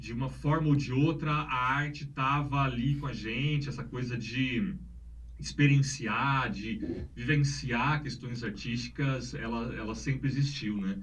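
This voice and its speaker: A man's voice with vocal fry, at a fairly slow pace, in audible room echo. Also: medium pitch for a man, ordinary pitch variation. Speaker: art professor and researcher. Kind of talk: casual chat. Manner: concentrates to avoid stuttering, speaks fluently.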